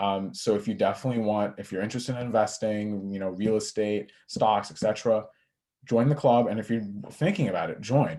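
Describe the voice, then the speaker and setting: A man with an American accent talks at a fairly quick pace in a dark, mellow tone, his pitch fairly low. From US Northeast (Long Island, New York). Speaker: college student. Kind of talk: panel discussion. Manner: loud; energetic.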